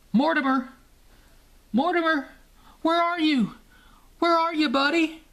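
The speech runs at a moderate pace against a quiet background. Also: man. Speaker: toy reviewer. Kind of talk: scripted 1980s toy commercial copy read aloud. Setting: home video. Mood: playful, jokey.

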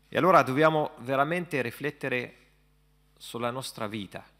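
At a moderate pace, a man speaks at medium pitch with a bright, sharp tone and ordinary pitch variation. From Palestine. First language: Arabic (speaking Italian). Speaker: imam. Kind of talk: panel discussion. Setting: stage with audience. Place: hall. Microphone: podium.

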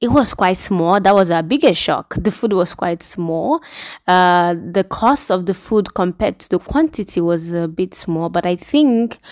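A woman talks at a fairly slow pace, with a quiet background. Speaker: vlogger. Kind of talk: casual vlog chat. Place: cafe. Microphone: phone near.

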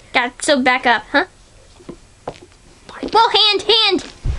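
In a cartoonish character voice, the speaker goes at a fairly slow pace, pitched high with very wide pitch swings. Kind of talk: puppet show dialogue.

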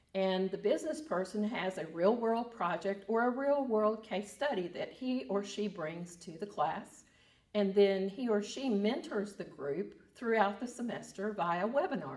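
Over a quiet background, a woman talks at a fairly slow pace. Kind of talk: interview answer. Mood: calm, positive. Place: office.

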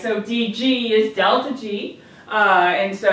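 Strong echo fills the room around this woman. Her tone is fairly bright.

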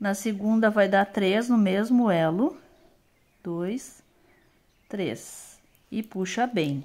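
A woman talks very slowly, with long pauses coming often. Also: ordinary pitch variation. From Brazil. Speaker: craft youtuber. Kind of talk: tutorial. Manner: casual, chatty. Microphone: phone near.

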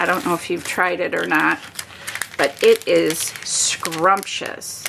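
Noticeable background noise is present throughout. Through it, a woman speaks. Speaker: paper craft demonstrator. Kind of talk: craft tutorial. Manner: animated. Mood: cheerful, chatty.

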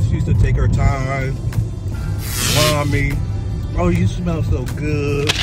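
A man speaks over loud background music. The sound is dry, with no echo. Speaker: vlogger. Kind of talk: casual vlog chat. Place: car. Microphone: phone near.

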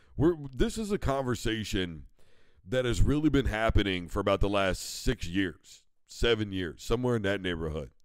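In a very clean recording with a silent background, a man with an American accent talks at a moderate pace, his fairly low voice carrying lively intonation. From US Midwest. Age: 40s. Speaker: sports talk show host. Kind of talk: sports talk monologue. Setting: live broadcast studio. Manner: animated.

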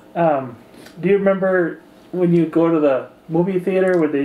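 Within audible room echo, a man speaks at a moderate pace with fairly even intonation. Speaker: interviewer. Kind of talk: oral history interview. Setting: in-person interview, socially distanced. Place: home room.

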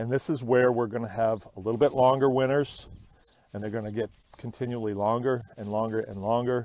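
The pace is fairly quick and the intonation fairly even. The tone is slightly mellow. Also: man, medium pitch for a man.

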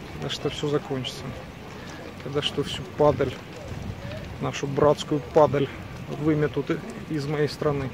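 Over noticeable background noise, a man with a fairly high pitch speaks at a fairly slow pace in a monotone, flat intonation with long, frequent pauses, and the sound is dry with no echo. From Ukraine. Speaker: video blogger. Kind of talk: casual vlog walk-and-talk. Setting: outdoors. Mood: bitter in parts. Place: street. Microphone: phone near.

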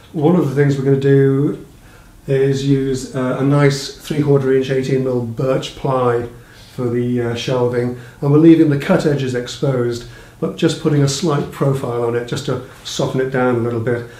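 A man is speaking with fairly even intonation. The room echo is audible. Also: moderate pace. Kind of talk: tutorial. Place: home room.

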